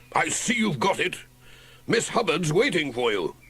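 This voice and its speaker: In a put-on character voice, a man speaks raspily at a high pitch and a moderate pace, his pitch swinging very widely. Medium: read story. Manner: barking.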